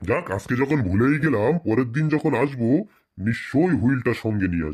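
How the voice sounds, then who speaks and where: A man performs a cartoonish character voice at medium pitch, with lively intonation and a moderate pace. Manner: scolding, bossy.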